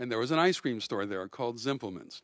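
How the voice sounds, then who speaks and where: With an American accent, a man speaks at a medium pitch against a quiet background. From US Midwest, Milwaukee. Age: 60s. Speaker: rabbi and lecturer. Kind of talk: lecture. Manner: halting, frequent fillers and repeats.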